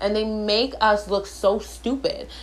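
A woman speaks with audible room echo. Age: 20s. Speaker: podcast host. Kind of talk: storytelling monologue. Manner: animated.

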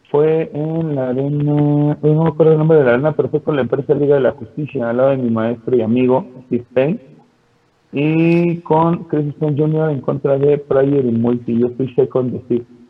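With music in the background, a voice speaks at a moderate pace. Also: man. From Mexico City. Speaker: pro wrestler. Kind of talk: casual interview.

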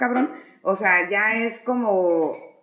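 A woman with a fairly high voice talks while noticeable noise fills the background. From Mexico, Tijuana. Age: 40s. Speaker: notary office worker. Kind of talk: casual chat.

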